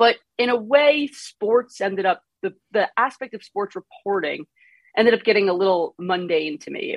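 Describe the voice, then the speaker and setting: A woman speaks with a New York accent. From Long Island, New York. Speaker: congressional reporter. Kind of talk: casual interview chat. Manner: slight accent, not thick.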